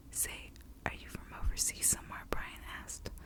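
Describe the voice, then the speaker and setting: The speaker is whispering. Noticeable background noise runs behind the voice. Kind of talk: audiobook reading. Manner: whispered.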